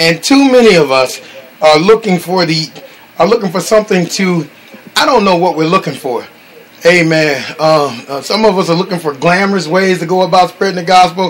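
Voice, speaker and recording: Light background noise sits behind a man with a high pitch. He speaks at a moderate pace with ordinary pitch variation. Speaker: minister hosting a call. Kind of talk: sermon.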